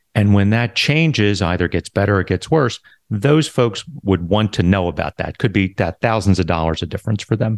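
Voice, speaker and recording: A man with an ordinary speaking voice and an American accent speaks fairly quickly with hardly any pauses, his fairly low pitch carrying lively intonation. The recording is very clean with a silent background and a dry, close sound free of echo. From US Northeast, Philadelphia. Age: 50s. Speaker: Medicare insurance agent. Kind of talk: podcast interview.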